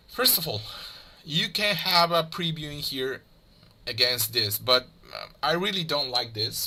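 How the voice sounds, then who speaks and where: With a Spanish accent and a bright, sharp tone, a man talks at a fairly slow pace with ordinary pitch variation. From Mexico. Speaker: 3D graphics tutorial creator. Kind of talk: tutorial. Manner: halting, many fillers.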